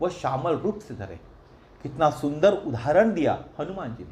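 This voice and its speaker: A man's voice with very wide pitch swings. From Maharashtra, India. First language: Marathi (speaking Hindi). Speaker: religious storyteller. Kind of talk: religious discourse.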